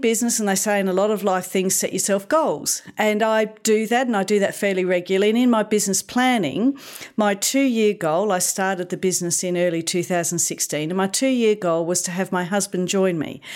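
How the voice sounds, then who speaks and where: Hardly pausing, a woman speaks at a fairly quick pace. Her intonation is lively. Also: medium pitch for a woman. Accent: Australian. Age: 50s. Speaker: digital marketing consultant. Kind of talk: interview. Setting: studio.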